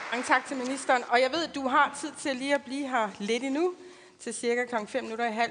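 Ordinary pitch movement accompanies speech delivered at a moderate speed. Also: woman. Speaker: event moderator. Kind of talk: moderating a parliamentary hearing. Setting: hearing room at parliament with audience.

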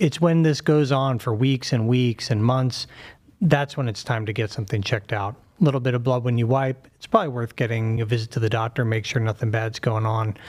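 A man with an unremarkable speaking voice at medium pitch, with ordinary pitch variation. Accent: American. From Pittsburgh, US. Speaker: surgeon. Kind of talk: interview.

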